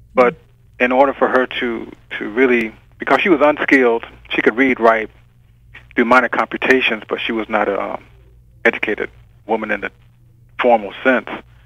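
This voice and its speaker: This man talks at a fairly quick pace, with long, frequent pauses. His pitch is medium and his intonation fairly even. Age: 60s. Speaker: writer. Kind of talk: interview. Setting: phone call. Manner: halting.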